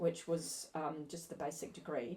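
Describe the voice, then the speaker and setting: A somewhat breathy woman talks at a fairly quick pace. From New Zealand, raised from late teens in Australia (Melbourne). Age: 60s. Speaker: business consultant. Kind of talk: podcast interview.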